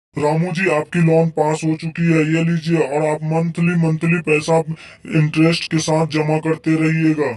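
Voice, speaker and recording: In a cartoonish character voice, a man talks at a fairly high pitch with monotone, flat intonation, very even loudness and hardly any pauses. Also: moderate pace. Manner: formal, official.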